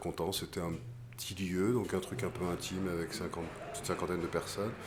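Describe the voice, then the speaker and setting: A man's very deep, low voice with ordinary pitch variation and audible room echo. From western France, island off Vendée. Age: 40s. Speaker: singer-songwriter. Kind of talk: post-concert interview. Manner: hesitant, many filler sounds.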